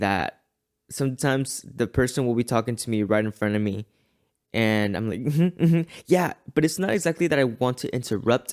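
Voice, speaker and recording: In a normal speaking voice, a man talks at a fairly quick pace and medium pitch with lively intonation, the sound dry and close with no echo. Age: 20s. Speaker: podcast host. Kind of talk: solo reflective monologue.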